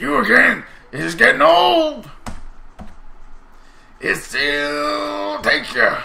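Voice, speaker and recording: A man speaks at a very slow pace. His speech has long, frequent pauses. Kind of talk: player reading game dialogue in a comic voice. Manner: mocking, boastful.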